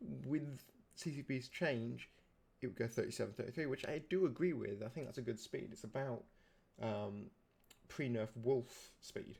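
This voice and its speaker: A man speaks in a medium pitch with vocal fry. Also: moderate pace. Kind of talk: casual gaming commentary.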